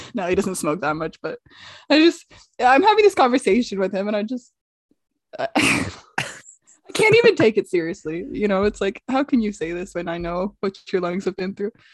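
A woman with an unremarkable speaking voice talks at a medium pitch and a moderate pace, her intonation lively and the sound dry and close with no echo. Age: 20s. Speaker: comedian and podcast co-host. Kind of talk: casual chat.

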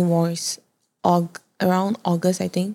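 A soft-spoken woman talks at a fairly slow pace. The recording is very clean, with a silent background. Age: 20s. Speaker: content creator and fashion brand founder. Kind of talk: casual chat.

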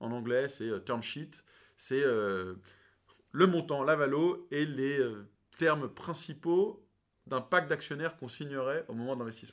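A man speaks fairly slowly in a fairly high voice with ordinary pitch variation and long, frequent pauses. The recording is very clean, with a silent background. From France, teen years in New York. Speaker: venture capital investor. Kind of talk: interview.

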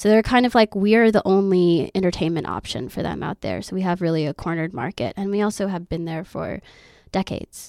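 In an ordinary speaking voice with an American accent, a woman talks at a fairly quick pace and medium pitch with ordinary pitch variation, the sound dry and close with no echo on a very clean recording with a silent background. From Oklahoma. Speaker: exotic dancer. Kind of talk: casual chat.

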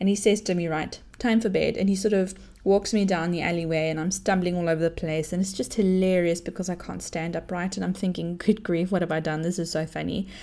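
A woman talks at a very fast pace with hardly any pauses, in a fairly low pitch. Her tone is animated. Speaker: parenting podcast host. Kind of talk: casual storytelling monologue.

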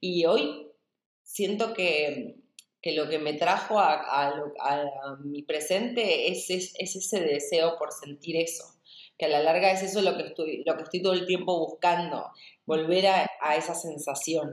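Amid audible room echo, a woman in a Rioplatense accent talks at fairly low pitch and a fairly slow pace with ordinary pitch variation. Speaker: dance and movement teacher. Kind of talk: interview.

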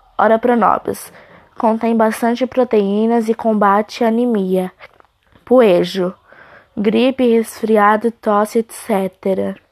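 A woman speaks very slowly with long, frequent pauses and very even loudness. Her fairly high voice has a monotone, flat intonation. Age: 40s. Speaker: student. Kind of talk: reading aloud.

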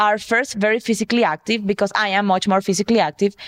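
Against a quiet background, a woman with an unremarkable speaking voice talks at a fairly quick pace in a fairly high pitch, with ordinary pitch variation and a dry, close sound with no echo. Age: 30s. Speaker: podcast co-host. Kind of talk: casual chat.

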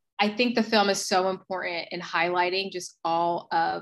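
This is an ordinary speaking voice. A woman with an American accent speaks at a fairly low pitch. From US, South Jersey. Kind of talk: interview, personal illness story.

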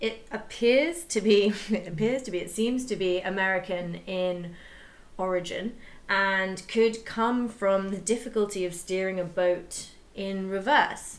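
A woman's ordinary speaking voice, medium in pitch with ordinary pitch variation, at a fairly slow pace. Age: 30s. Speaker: podcast co-host. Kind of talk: casual chat.

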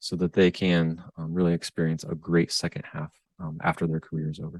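Over a quiet background, a man with a very deep, low pitch and a Midwestern American accent speaks at a fairly quick pace, the sound dry and close with no echo. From US Midwest, Northwest Ohio. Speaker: financial advisor and author. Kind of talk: interview.

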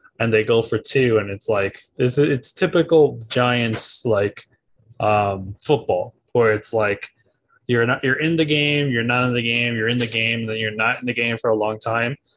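Here is a man with a plain, everyday voice at medium pitch. He talks at a fairly slow pace with ordinary pitch variation. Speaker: podcast co-host. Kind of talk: casual chat.

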